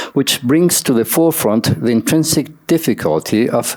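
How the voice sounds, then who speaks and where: A man talks at a fairly slow pace with a non-native accent. His pitch swings very widely. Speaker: academic conference speaker. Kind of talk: reading a paper aloud. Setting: conference session. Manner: formal.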